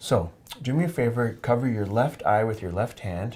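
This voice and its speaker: Calm and relaxed, a man with an American accent speaks at medium pitch and a moderate pace on a very clean recording with a silent background. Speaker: oculofacial plastic surgeon. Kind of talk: medical teaching demonstration. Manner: calm, relaxed, explanatory.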